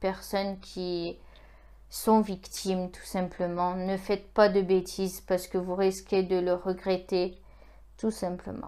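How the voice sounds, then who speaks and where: A woman's dark, mellow voice at medium pitch, monotone and flat in intonation, at a very slow pace. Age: 20s. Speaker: YouTuber. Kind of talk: vlog monologue. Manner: halting, many hesitations; earnest. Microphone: iPhone 6.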